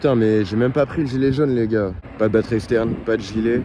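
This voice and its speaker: A man at medium pitch, animated in tone, at a fairly quick pace. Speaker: vlogger. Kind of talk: vlog narration to camera. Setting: outdoors by a road at night. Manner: casual, animated.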